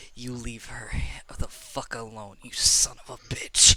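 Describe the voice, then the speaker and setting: Speaking at a medium pitch and a fairly slow pace, a man puts on a character voice. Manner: angry, threatening.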